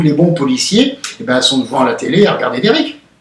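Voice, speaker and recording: Here a man talks at a high pitch with very wide pitch swings. His pace is fairly quick. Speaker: nationalist activist interviewed after police custody. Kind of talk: interview. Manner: loud.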